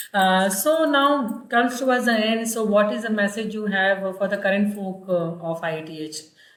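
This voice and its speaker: A woman in an Indian accent, ordinary pitch variation, noticeable background noise and audible room echo. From Hindi-speaking northern India. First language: Hindi. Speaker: university public relations officer, host. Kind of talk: interview conversation. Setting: video call. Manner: hesitant, many fillers.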